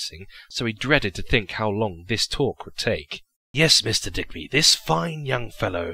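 The speaker is reading aloud in a natural voice. The background is quiet.

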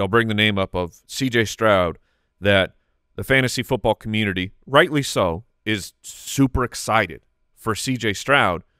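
A man talks at a fairly low pitch and a fairly slow pace, his tone bright and sharp with ordinary pitch variation. The background is quiet and the sound is dry with no echo. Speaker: fantasy football podcast host. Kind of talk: casual chat. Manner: calmer, less outwardly excited. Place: studio. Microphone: studio mic.

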